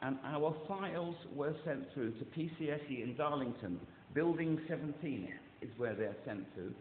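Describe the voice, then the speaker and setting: Lively intonation at a moderate pace comes through with audible room echo. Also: man. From England. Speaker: caller. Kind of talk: phone complaint. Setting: phone call. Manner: halting.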